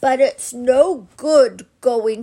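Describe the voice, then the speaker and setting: A woman speaks in a high, gruff, raspy put-on character voice. She talks at a very slow pace. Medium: read story. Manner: slow, good-natured, simple.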